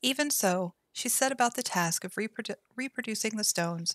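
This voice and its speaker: Soft-spoken and fairly high-pitched, a woman talks at a moderate pace with lively intonation, captured in a very clean recording with a silent background and a dry, close sound with no echo. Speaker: streamer. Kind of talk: lore book reading.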